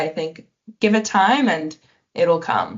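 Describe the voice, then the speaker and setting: A woman with a Canadian accent speaks at a fairly slow pace. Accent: Canadian, noticeable to others. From Canada. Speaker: exchange student. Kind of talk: casual interview.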